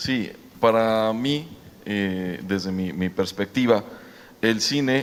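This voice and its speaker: This man's voice sits at a medium pitch and has ordinary pitch variation. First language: Mexican Sign Language (speaking Spanish). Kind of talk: panel discussion.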